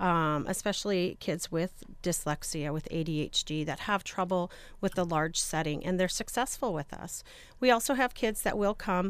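A woman with a plain, everyday voice speaks at a medium pitch and a moderate pace, with ordinary pitch variation. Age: 40s. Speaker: school administrator. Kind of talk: radio interview.

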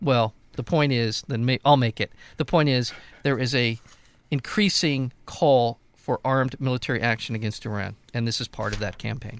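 Recorded dry and close with no echo, a man speaks at a moderate pace and medium pitch with ordinary pitch variation in a plain, everyday voice. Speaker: radio host. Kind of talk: casual radio banter and commentary.

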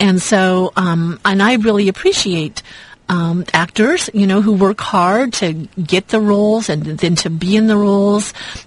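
Against noticeable background noise, the voice holds very even loudness and fairly even intonation. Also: woman, medium pitch for a woman. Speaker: radio co-host. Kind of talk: casual chat. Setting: radio studio.

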